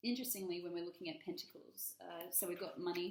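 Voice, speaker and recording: The woman's pitch is fairly low, and her intonation is fairly even. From Australia. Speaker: tarot reader. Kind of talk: tarot reading. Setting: at home, dining room table.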